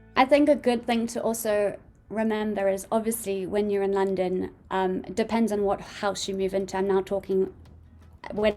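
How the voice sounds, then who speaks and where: A woman speaks with fairly even intonation. Noticeable background noise can be heard. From South Africa. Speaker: podcast co-host. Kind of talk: casual chat.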